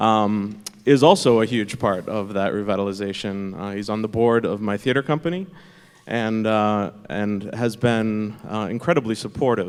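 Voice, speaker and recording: A man with an American accent has an ordinary speaking voice. His fairly low pitch shows ordinary pitch variation at a moderate pace. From Massachusetts (Lynn). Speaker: theater company founder. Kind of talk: panel discussion.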